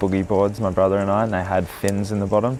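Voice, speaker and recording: There is music in the background. A man with a very deep, low pitch talks at a very fast pace. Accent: Australian. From Australia, east coast. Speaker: surfer. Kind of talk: documentary interview.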